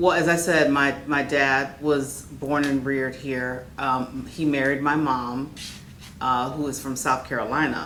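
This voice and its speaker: A woman's very deep, low voice with an American accent, monotone and flat, with audible room echo and noticeable background noise. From Orlando, Florida. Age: 60s. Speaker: educator. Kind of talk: oral history interview. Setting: neighborhood center.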